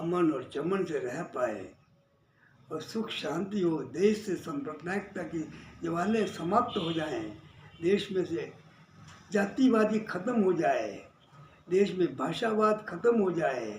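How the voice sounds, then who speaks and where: A man's high voice with lively intonation and long, frequent pauses, plus audible room echo. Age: 80s+. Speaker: social worker and labour-farmer leader. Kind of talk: political monologue. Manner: repetitive, emphatic.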